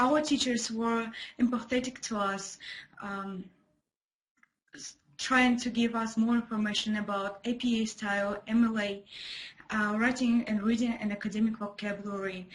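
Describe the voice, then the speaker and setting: Somewhat breathy and monotone, with flat intonation, the voice carries a Russian accent. It moves at a moderate pace with long, frequent pauses. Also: woman, fairly high pitch for a woman. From Kazakhstan. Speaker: former ESL student. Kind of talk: student testimony. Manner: halting with fillers.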